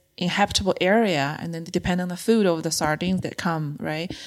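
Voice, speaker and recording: Speaking with a Chinese accent, a woman uses a fairly low pitch, fairly even intonation and a moderate pace. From China. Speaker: free diver and diving instructor. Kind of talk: casual interview. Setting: in person, in Nairobi.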